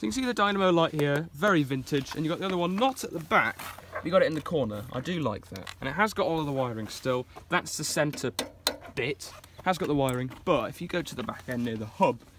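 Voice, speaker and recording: The speech comes at a very fast pace. The sound is dry with no echo, with noticeable background noise. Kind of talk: casual vlog chat. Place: waterside. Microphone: phone near.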